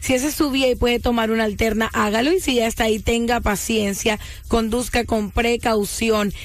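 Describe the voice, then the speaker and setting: A woman's voice is fairly high in pitch, with fairly even intonation. Music sounds in the background. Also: very even loudness. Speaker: traffic reporter. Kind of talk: rapid traffic report read on radio.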